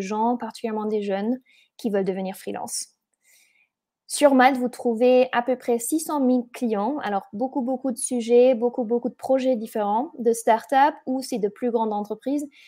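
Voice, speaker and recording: The woman's tone is dark and mellow. She has a slight German accent. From Germany. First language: German (speaking French). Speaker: event organizer and webinar host. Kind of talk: webinar presentation. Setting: online webinar. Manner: halting, many hesitations.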